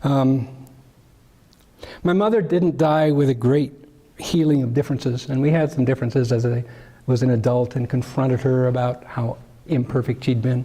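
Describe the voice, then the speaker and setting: At a moderate pace, a man with an American accent speaks in a dark, mellow, somewhat breathy tone, keeping his intonation fairly even and leaving long, frequent pauses. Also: medium pitch for a man. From US Midwest, Chicago suburbs. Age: 70s. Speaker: Quaker meeting member. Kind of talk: personal testimony. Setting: Quaker meeting.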